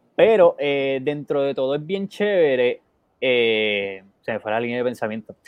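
Using a plain, everyday voice, the speaker talks at a fairly slow pace with lively intonation. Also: man, medium pitch for a man. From Puerto Rico, Bayamón. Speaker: photographer and co-host. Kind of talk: casual chat. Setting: Facebook live stream.

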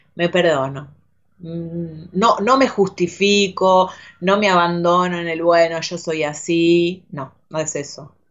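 Speaking at a very slow pace, a woman talks with a Rioplatense accent. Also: fairly low pitch for a woman, fairly even intonation. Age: 40s. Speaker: actress. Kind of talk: casual interview chat. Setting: studio. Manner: halting, repeats words.

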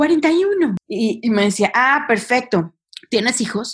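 A woman's somewhat breathy voice shows ordinary pitch variation. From Mexico, Monterrey. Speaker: social entrepreneur. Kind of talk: interview.

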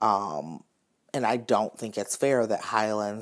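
With an American accent, a man speaks at a fairly low pitch in an ordinary speaking voice. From US South. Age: 20s. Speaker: social worker. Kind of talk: casual chat.

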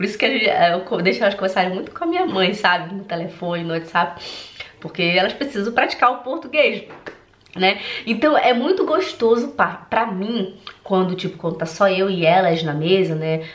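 Amid noticeable background noise and audible room echo, a woman with an animated tone and medium pitch speaks at a moderate pace with lively intonation. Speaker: German language coach. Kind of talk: vlog-style direct address to viewers.

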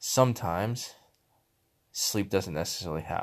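A man with a very deep, low pitch and vocal fry, making very wide pitch swings, on a very clean recording with a silent background. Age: 30s. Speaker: podcast host, powerlifter. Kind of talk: casual monologue.

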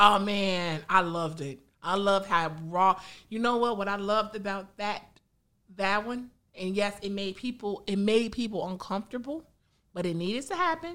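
A woman with an American accent speaks at a medium pitch and a moderate pace, her bright, sharp tone carrying ordinary pitch variation on a very clean recording with a silent background. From Chicago south suburbs, US. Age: 40s. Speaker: beer podcaster. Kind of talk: casual chat.

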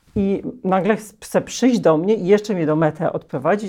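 A woman speaks at medium pitch in a dark, mellow tone, with ordinary pitch variation. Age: 40s. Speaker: parent of a transgender child. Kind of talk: interview.

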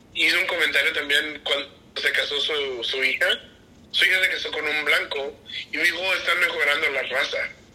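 A man keeps a moderate pace as noticeable background noise runs beneath his words. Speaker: friend. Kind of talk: casual chat. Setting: video call.

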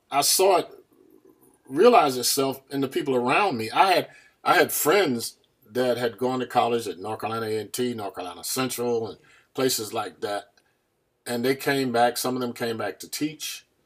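A man with an American accent speaks in an ordinary speaking voice at a medium pitch and moderate pace, with ordinary pitch variation and big swings in loudness. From US South (small town called Farmville). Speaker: education advocate and board of education member. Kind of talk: casual interview.

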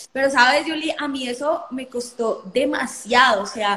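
With noticeable background noise behind her, a woman speaks at a high pitch with ordinary pitch variation. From Colombia. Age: 20s. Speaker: lawyer and entrepreneur. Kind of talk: live stream conversation.

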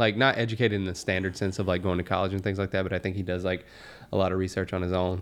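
An animated male voice, fairly low in pitch, with a Southern US accent. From Alabama. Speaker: podcast host. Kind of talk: casual chat. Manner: joking, animated.

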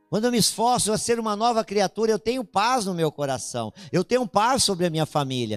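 A man's high-pitched voice, fairly quick and with hardly any pauses, lively in intonation, with a dry, close sound with no echo and music in the background. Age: 50s. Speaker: pastor. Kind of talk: sermon. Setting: church.

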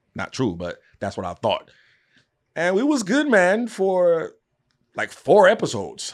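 Pausing long and often, a man with a New York accent speaks at a fairly slow pace. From New York, Queens. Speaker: podcast host and interviewer. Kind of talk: casual interview chat.

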